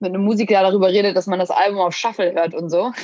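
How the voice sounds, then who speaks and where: In a dry, close sound with no echo, a woman with a plain, everyday voice and medium pitch talks at a fairly quick pace with fairly even intonation. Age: 20s. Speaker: athlete and fitness influencer. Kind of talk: casual chat.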